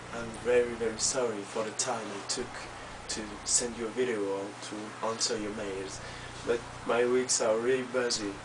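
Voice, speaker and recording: A man with a strong French accent, moderate pace and monotone, flat intonation, over noticeable background noise. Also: medium pitch for a man. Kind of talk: casual personal video message. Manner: hesitant, many fillers.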